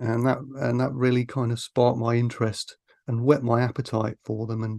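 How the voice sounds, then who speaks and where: A man with an East Midlands accent, dark and mellow in tone, in a monotone, flat delivery. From Grantham, Lincolnshire, England. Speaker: film author. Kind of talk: casual chat. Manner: hesitant, many fillers.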